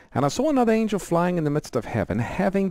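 With a dark, mellow tone and very wide pitch swings, a man speaks in a dry sound with no echo against a quiet background. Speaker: radio program host. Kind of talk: explanatory Bible teaching on call-in show. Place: studio. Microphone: headset.

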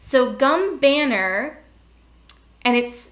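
A woman is speaking. She has an American accent. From US, Pennsylvania. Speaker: information architecture educator. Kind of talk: tutorial. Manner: thinking aloud while demonstrating. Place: home room. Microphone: webcam.

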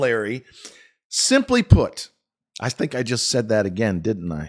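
A man speaks in an animated tone. The background is quiet. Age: 50s. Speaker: stock market commentator and business owner; stock market commentator. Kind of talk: solo video commentary. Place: home room. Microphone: studio mic.

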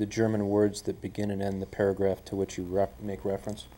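His voice is fairly low in pitch. The man talks at a fairly quick pace. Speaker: attorney. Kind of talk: legal objections at a deposition. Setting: videotaped deposition room. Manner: formal. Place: meeting room.

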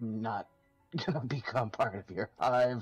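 A man's raspy, put-on character voice at medium pitch and moderate pace, with music in the background. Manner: defiant, confident.

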